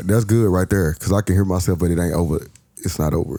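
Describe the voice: Very fast pace, fairly even intonation, very even loudness and a dark, mellow tone. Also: man, very deep, low pitch for a man.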